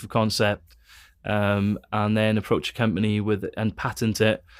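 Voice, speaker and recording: A man with a Welsh accent speaks at a fairly low pitch and a moderate pace. The recording is very clean, with a silent background. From Wales. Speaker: theology school director and former engineer. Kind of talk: interview conversation. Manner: halting, many fillers and repeats.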